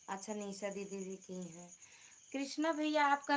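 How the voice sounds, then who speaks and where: A woman speaks at medium pitch. Her voice makes very wide pitch swings. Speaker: livestreamer, folk singer. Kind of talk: casual live stream chat. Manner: soft-spoken. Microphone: too quiet.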